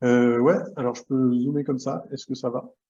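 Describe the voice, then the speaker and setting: This man has a medium pitch. His tone is dark and mellow. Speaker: association member presenting a governance model. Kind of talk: online workshop presentation. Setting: video call. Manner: fast; hesitant, many fillers and repetitions.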